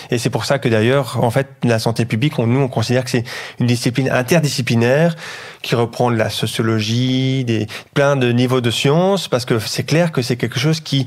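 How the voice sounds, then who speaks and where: At a moderate pace, a man speaks in a medium-pitched voice with fairly even intonation and very even loudness. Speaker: public health lecturer, former nurse. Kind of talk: interview. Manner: holding back volume.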